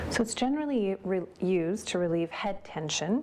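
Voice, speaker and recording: A woman speaks softly. Noticeable background noise runs behind her. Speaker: yoga teacher. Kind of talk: guided yoga class. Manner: soft-spoken.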